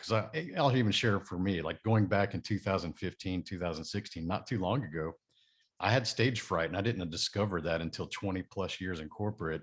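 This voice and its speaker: A man with a very deep, low pitch speaks fairly quickly in a Texan accent, his intonation lively. The recording is very clean, with a silent background. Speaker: podcast host. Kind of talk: interview.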